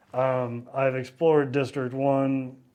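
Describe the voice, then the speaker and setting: A man with a Texan accent. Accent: Texan Southern US. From East Texas, near Louisiana. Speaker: travel vlogger. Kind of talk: casual travel vlog monologue. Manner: casual with frequent repetitions and false starts.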